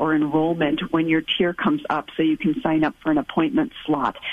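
A woman with a fairly low pitch and an ordinary speaking voice, at a moderate pace. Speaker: infectious disease physician. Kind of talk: radio call-in Q&A.

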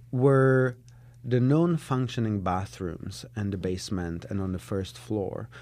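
This man speaks at a medium pitch with a dark, mellow tone. His pace is fairly slow, and his pitch varies in an ordinary way. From Czech Republic (Prague). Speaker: artist and art professor. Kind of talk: interview. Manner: frequent throat clearing.

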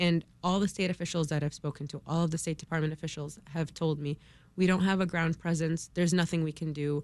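In an American accent, a woman rattles along at a very fast pace, her fairly low pitch held in a monotone, flat intonation. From Chicago area, US. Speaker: law student, relative of people in war zone. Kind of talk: radio interview.

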